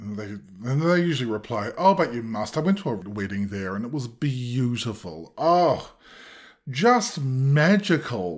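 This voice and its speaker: A man with a New Zealand accent speaks at a medium pitch. His pace is fairly slow, and his pitch swings very widely. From New Zealand, of Cook Islands heritage. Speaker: playwright and actor. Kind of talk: casual interview. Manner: animated.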